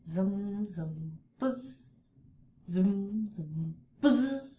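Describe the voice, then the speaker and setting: A woman does a put-on character voice at a medium pitch. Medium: read story. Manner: anxious.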